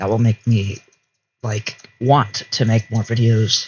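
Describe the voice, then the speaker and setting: Here a man talks at a medium pitch and moderate pace. His voice is somewhat breathy. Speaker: gaming YouTuber. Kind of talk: casual gameplay commentary. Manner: rambling, hesitant.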